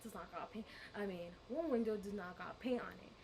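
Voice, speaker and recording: A woman speaks in a bubbly tone at a fairly high pitch and a moderate pace. Her pitch varies in an ordinary way, with noticeable background noise. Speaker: vlogger. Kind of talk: storytime vlog. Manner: loud, bubbly; animated.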